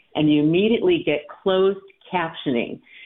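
Her plain, everyday voice sits at a fairly low pitch, and this woman uses ordinary pitch variation. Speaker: volunteer. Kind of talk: interview segment.

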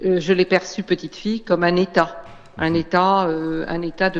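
Monotone, flat intonation marks this fairly slow delivery. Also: woman. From Réunion. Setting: phone call. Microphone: phone line.

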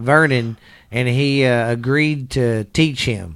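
Speaking with a Texan accent, a man uses a medium pitch and ordinary pitch variation. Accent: Texan Southern US. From Texas. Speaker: podcast co-host, wrestling fan. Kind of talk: casual chat. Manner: halting, many fillers.

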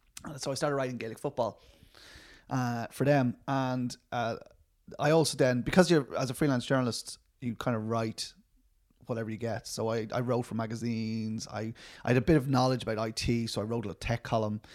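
A man speaks with a Dublin accent and fairly even intonation. The recording is very clean, with a silent background. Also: medium pitch for a man, fairly quick pace. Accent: Irish, Dublin. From Dublin, Ireland. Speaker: film writer and director. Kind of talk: casual interview.

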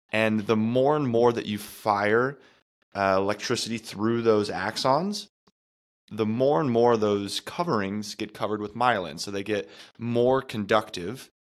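In a very clean recording with a silent background, a man with an ordinary speaking voice talks at a fairly low pitch and fairly slow pace, with ordinary pitch variation. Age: 30s. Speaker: podcast co-host, nutrition coach. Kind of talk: casual chat.

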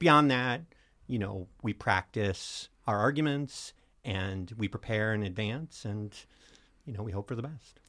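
Speaking fairly slowly, an unremarkable speaking voice shows ordinary pitch variation. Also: man, fairly low pitch for a man. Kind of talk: casual interview.

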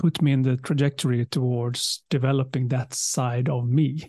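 Against a quiet background with a dry, close sound and no echo, a man speaks in a fairly high, somewhat breathy voice with a dark, mellow tone. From southern Sweden. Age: 50s. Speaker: leadership communication speaker and author. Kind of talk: interview.

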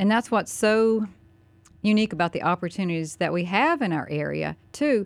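Over a very clean recording with a silent background, a woman with a Southern US accent speaks at a moderate pace and medium pitch, her intonation lively. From US South, North Carolina. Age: 50s. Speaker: county commissioner. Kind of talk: radio interview. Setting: studio.

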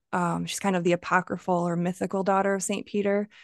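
A woman with an American accent speaks at a medium pitch in a monotone, flat delivery, recorded dry and close with no echo against a quiet background. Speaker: poet. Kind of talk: interview about her poetry. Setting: video call.

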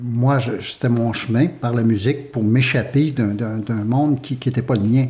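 At a fairly slow pace, a man with medium pitch and a dark, mellow, somewhat breathy tone speaks with fairly even intonation. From Quebec, Huron village of Wendake. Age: 60s. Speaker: theatre company co-founder. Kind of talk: casual chat. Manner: halting.

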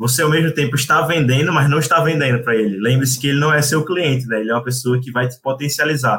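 With a bright, sharp tone, a man speaks at a very fast pace and with fairly even intonation. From Brazil, Recife. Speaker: venture capital analyst. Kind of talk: casual chat.

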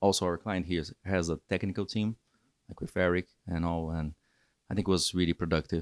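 A man with a Portuguese accent and very deep, low pitch at a fairly quick pace, in a very clean recording with a silent background and a dry, close sound with no echo. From Brazil. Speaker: data engineer. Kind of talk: casual interview. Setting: rooftop hotel location.

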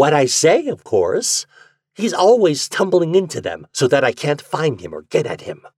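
A man's put-on character voice at a moderate pace, fairly high in pitch with very wide swings, a slightly mellow tone and slightly husky edge, dry and close with no echo, on a very clean recording with a silent background.

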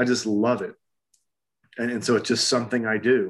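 The background is quiet as a man talks at a fairly quick pace in a medium pitch. He has an ordinary speaking voice. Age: 50s. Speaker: acupuncturist and holistic health practitioner. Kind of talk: interview conversation.

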